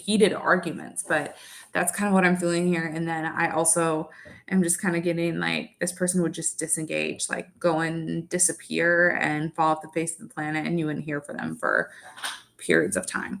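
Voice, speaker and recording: A woman speaks in a fairly low pitch. Her intonation is flat and monotone. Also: moderate pace. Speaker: tarot reader. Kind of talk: live tarot reading. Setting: livestream. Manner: casual, filler-heavy.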